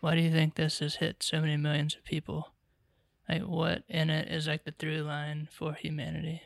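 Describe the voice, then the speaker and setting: A man's fairly high voice with an American accent, flat and monotone yet swinging widely in loudness, on a very clean, dry, close recording with a silent background and no echo. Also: moderate pace. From Charlotte, North Carolina. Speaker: podcast co-host, writer-director. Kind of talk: interview.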